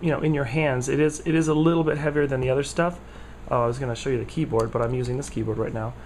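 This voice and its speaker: A man talks at a very fast pace in a medium-pitched voice. His intonation is fairly even, and audible room echo surrounds him. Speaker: tech vlogger. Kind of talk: casual product review vlog. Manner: halting, many fillers.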